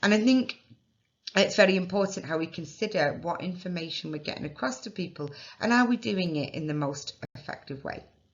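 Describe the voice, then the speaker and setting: A woman with a fairly low pitch talks at a fairly quick pace, somewhat breathy. Her intonation is lively, and her loudness swings widely. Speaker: nurse and immunisation tutor. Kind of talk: lecture. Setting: recorded webinar. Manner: somewhat posh, careful teaching voice.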